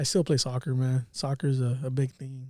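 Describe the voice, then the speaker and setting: On a very clean recording with a silent background, a man speaks at a fairly quick pace. His dark, mellow voice is somewhat breathy. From Watsonville, California. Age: 30s. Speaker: barber and entrepreneur. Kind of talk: casual chat.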